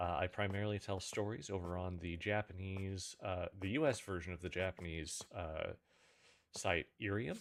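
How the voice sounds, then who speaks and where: Recorded very cleanly against a silent background, a man speaks quietly at a moderate pace, his very deep, low voice keeping a fairly even intonation. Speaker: streamer and storyteller. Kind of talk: casual live stream chat.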